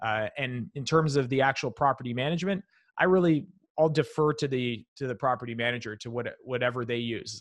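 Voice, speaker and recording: A normal speaking voice at a fairly quick pace, with ordinary pitch variation, stands out against a quiet background. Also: man, medium pitch for a man. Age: 30s. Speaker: real estate investor. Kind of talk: interview.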